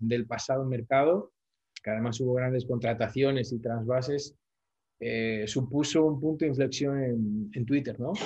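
He has an ordinary speaking voice with a medium pitch. This man speaks at a moderate pace. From Spain. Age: 40s. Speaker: football social media commentator. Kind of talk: casual interview chat.

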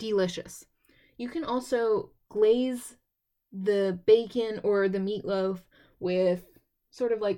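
Her tone dark and mellow, a woman speaks at a very slow pace. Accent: American. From Texas. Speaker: podcast host. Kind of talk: casual solo podcast talk.

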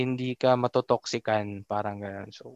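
A man speaks in a monotone with flat intonation. The sound is dry and close with no echo against a quiet background. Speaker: podcast host. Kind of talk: casual chat.

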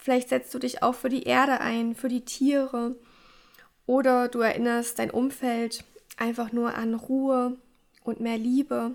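A woman speaks in a high, flat monotone, leaving long pauses again and again. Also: fairly slow pace. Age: 20s. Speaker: podcast host. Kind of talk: solo podcast talk.

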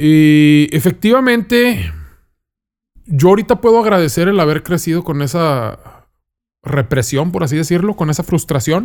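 A man with a Mexican accent and fairly high pitch speaks at a fairly slow pace with lively intonation. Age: 30s. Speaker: food content creator. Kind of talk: casual chat. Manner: casual, slangy.

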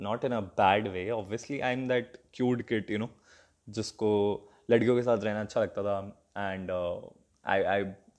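A man with a fairly low pitch talks while the background stays quiet. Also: fairly even intonation. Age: 20s. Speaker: comedy content creator. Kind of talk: casual storytelling monologue. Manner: hesitant.

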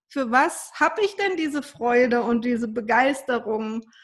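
A high-pitched woman at a fairly slow pace, with ordinary pitch variation. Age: 40s. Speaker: energy healer and ancestral work coach. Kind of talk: interview.

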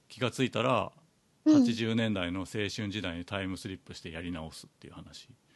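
Loudness swings widely in a normal speaking voice with ordinary pitch variation. The pace is fairly quick. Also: man, fairly low pitch for a man. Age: 40s. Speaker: podcast host. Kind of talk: casual chat.

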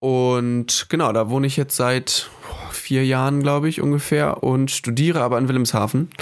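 In a normal speaking voice, the speaker keeps a moderate pace, fairly even intonation and very even loudness. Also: man, medium pitch for a man. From northern Germany (Hamburg, Föhr). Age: 20s. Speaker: student, podcast co-host. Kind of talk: casual chat.

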